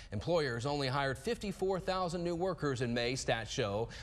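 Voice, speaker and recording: This man speaks at a moderate pace with lively intonation and a fairly high pitch. His loudness stays very even, and he has an unremarkable speaking voice. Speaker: TV news anchor. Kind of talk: TV news anchor read.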